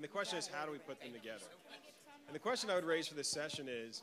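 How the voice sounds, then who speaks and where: This is a man with a fairly high pitch. His pitch variation is ordinary. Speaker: foundation program officer, panel moderator. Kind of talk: conference panel introduction. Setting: conference hall, near noisy hallway. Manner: projecting.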